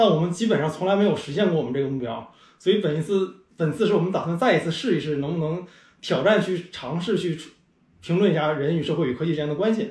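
A man speaks at a high pitch and a very fast pace. His pitch varies in an ordinary way. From Northeast China, Changchun. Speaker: tech startup CEO and podcaster. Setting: recording over a meal.

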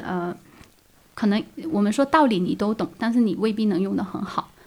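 Her pitch fairly high and her intonation lively, a woman talks at a fairly quick pace. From Guangdong, China. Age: 30s. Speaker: freelance artist. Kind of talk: casual interview. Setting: courtyard. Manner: smiling, laughing often; hesitant, many fillers.

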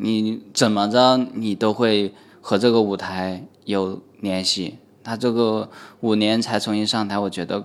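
Flat and monotone, a man talks with a fairly low pitch. His pace is fairly slow. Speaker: stand-up comedian. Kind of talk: casual chat.

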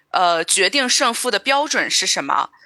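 A woman's bright, sharp voice with lively intonation at a moderate pace, dry and close with no echo. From Shandong. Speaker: podcast co-host. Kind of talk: casual chat.

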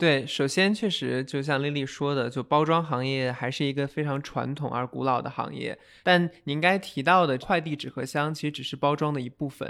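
A man with a normal speaking voice, fairly high in pitch, talks at a moderate pace with ordinary pitch variation and hardly any pauses. The recording is very clean, with a silent background. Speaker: venture capital investor. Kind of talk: interview.

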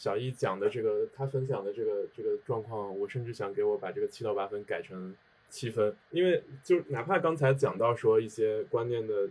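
A somewhat breathy male voice at a medium pitch, with ordinary pitch variation and a fairly quick pace. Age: 30s. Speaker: sports marketer. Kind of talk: casual chat. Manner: halting.

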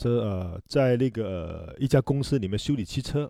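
With a Hong Kong accent, a man speaks at a moderate pace in a dark, mellow tone, the sound dry and close with no echo on a very clean recording with a silent background. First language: Cantonese (speaking Chinese). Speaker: hairdresser and salon owner. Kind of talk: casual chat.

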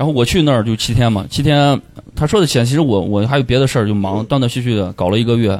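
Over noticeable background noise, a man talks at a very fast pace. His voice sits at a medium pitch, with ordinary pitch variation and very even loudness. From Pucheng, Shaanxi (rural). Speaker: dreadlock stylist and stand-up comedian. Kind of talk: casual chat.

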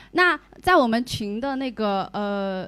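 With lively intonation and a fairly high pitch, a woman speaks in an ordinary speaking voice, captured in a very clean recording with a silent background. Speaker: event organizer. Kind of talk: event emcee. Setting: stage with audience.

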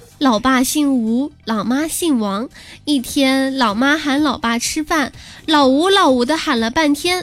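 With music in the background, a woman speaks at a high pitch in an animated tone, with ordinary pitch variation and a fairly slow pace. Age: 20s. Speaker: podcast host. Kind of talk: comedic monologue.

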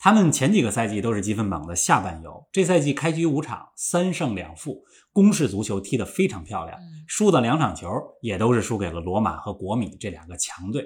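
A man with a medium pitch speaks at a fairly quick pace with very wide pitch swings and a somewhat breathy quality. The recording is very clean, with a silent background. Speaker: football pundit. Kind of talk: casual chat.

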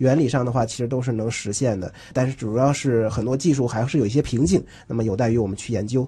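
Talking at a very fast pace, a man has a medium pitch, a dark, mellow tone, a somewhat breathy quality, and ordinary pitch variation. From Northeast China. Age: 20s. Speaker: scientist and crosstalk comedian. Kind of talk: radio interview.

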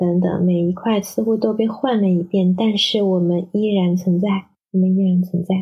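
A woman speaks in a medium pitch with a somewhat breathy voice. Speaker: perfumer and translator. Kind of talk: recorded reflection message.

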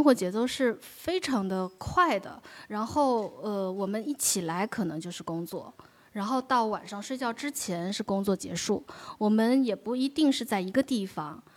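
A woman's fairly high-pitched voice, an ordinary speaking voice, with lively intonation at a fairly slow pace on a very clean recording with a silent background. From China, Wenzhou. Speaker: documentary director. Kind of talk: live onstage conversation.

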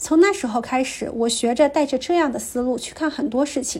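Amid noticeable background noise, a woman with a high pitch talks at a moderate pace with ordinary pitch variation. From small county town in Anhui, China. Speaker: listener submitting a recorded story. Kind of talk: reading aloud.

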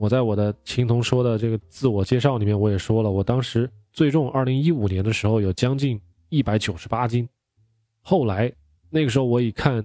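The recording is very clean, silent behind a dry, close sound with no echo. A man with a dark, mellow tone and medium pitch talks at a fairly quick pace with ordinary pitch variation. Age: 30s. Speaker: podcast host on keto diet. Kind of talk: solo podcast monologue.

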